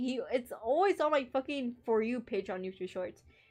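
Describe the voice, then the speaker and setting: A woman with a high pitch and lively intonation at a fairly slow pace, music in the background. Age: 18. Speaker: streamer. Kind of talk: casual livestream chat.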